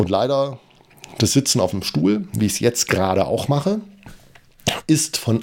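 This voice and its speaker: This is a man talking. His voice falls at a medium pitch. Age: 40s. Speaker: running podcaster. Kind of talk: solo podcast monologue, running diary. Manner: hesitant, many fillers.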